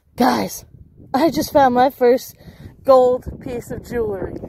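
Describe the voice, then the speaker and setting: Over light background noise, a woman speaks in a high pitch with a dark, mellow tone, the sound dry with no echo. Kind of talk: casual vlog chat. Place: open country. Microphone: phone near.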